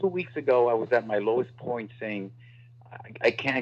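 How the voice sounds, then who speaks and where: Here a man speaks with an American accent at a moderate pace. His pitch is medium, with ordinary variation. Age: 60s. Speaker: political candidate, former prosecutor. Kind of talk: interview. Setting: radio studio. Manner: animated.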